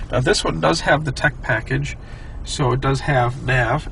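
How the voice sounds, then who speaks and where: Noticeable background noise sits beneath a man talking at a moderate pace. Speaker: Tesla owner and car reviewer. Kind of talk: casual car review talk while driving.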